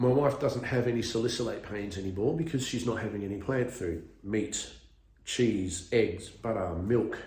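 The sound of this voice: A man talks at a fairly slow pace, his fairly low pitch carrying a slightly mellow tone. His pitch varies in an ordinary way, and strong room echo surrounds the voice.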